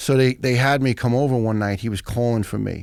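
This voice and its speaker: In a very clean recording with a silent background, a man with an American accent uses a normal speaking voice, a moderate pace and ordinary pitch variation. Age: 50s. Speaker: retired firefighter. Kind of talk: storytelling in podcast interview.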